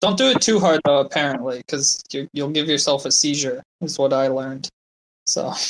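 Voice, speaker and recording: In an ordinary speaking voice, a man with fairly high pitch talks at a moderate pace with fairly even intonation. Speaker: crypto community member. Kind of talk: casual chat. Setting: online audio room.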